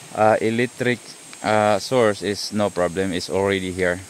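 A man with a fairly low pitch, a fairly slow pace and fairly even intonation, over faint background noise.

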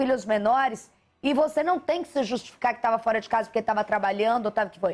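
The voice is a woman's. The rise and fall of her pitch is ordinary. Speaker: TV news anchor. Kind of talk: live TV news anchoring. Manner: warm, empathetic. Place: studio. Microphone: lapel.

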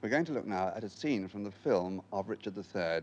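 A man speaks with a fairly low pitch and ordinary pitch variation. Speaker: interviewer. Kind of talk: formal broadcast interview. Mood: calm, thoughtful. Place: studio.

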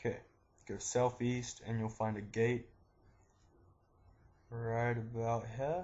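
Speaking very slowly, a man sounds somewhat breathy at a medium pitch. His intonation stays monotone and flat. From New Zealand. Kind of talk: game tutorial narration. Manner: casual, profane.

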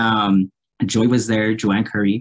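Slowly and at a fairly low pitch, a man speaks with little pitch movement.

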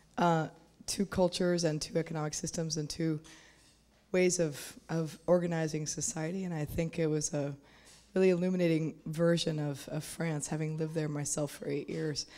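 A woman speaks at a moderate pace with a very deep, low pitch, a dark, mellow tone and fairly even intonation. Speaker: audience member asking a question; audience member. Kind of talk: conference Q&A question. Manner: halting. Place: hall. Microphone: handheld.

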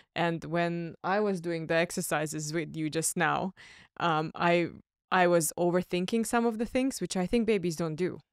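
Over a quiet background with a dry sound and no echo, a woman uses an ordinary speaking voice at a moderate pace, fairly low in pitch with ordinary pitch variation. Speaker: podcast co-host. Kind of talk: interview. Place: gym. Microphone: studio mic.

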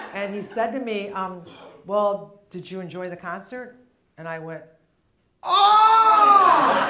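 Long, frequent pauses break up a woman's very slow speech, with audible room echo and light background noise. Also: big swings in loudness. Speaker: stand-up comedian. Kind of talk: stand-up comedy set. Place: stage. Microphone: lapel.

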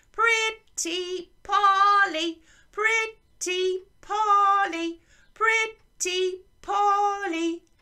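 This is a put-on character voice pitched extremely high. It moves at a very slow pace. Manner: playful, squawking.

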